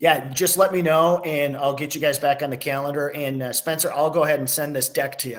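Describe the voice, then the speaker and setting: With an ordinary speaking voice, a man talks at a fairly quick pace with hardly any pauses, his pitch fairly high and his intonation fairly even. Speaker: insurance company representative. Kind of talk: webinar presentation.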